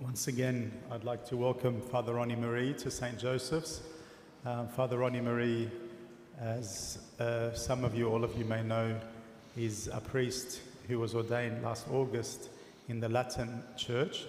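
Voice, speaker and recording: A man talks at a fairly slow pace in a monotone, flat intonation, with audible room echo and light background noise. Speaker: priest introducing the guest speaker. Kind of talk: introduction speech. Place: church.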